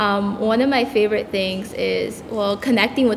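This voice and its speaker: Amid noticeable background noise, a woman speaks at a medium pitch. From El Salvador, raised in US. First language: Spanish. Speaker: tutor. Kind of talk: panel discussion.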